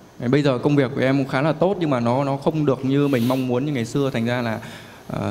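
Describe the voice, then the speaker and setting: Over noticeable background noise, a man at a medium pitch talks at a very fast pace with fairly even intonation. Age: 20s. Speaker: young entrepreneur seeking advice. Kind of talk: coaching Q&A. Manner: deferential, hesitant.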